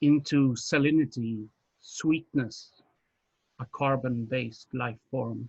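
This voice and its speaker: A man with a Swedish accent speaks very slowly, at medium pitch and with fairly even intonation. His voice is somewhat breathy, and he pauses often and at length. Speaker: poet. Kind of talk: poetry reading.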